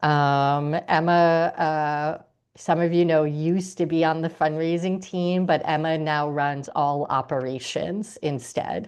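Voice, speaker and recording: A woman with an American accent speaks at a fairly slow pace in a very deep, low pitch, her intonation fairly even against a quiet background. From US Northeast, New York. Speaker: nonprofit executive. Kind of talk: webinar briefing and Q&A. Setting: video call.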